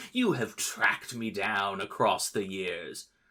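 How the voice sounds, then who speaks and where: A cackling, put-on character voice at a fairly slow pace. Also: man. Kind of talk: theatrical, grandiose. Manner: cackling, gloating, evil.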